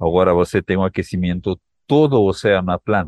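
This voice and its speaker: A man with a Peruvian accent speaks with ordinary pitch variation in a dry, close sound with no echo. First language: Spanish (speaking Portuguese). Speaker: climate scientist. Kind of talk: interview.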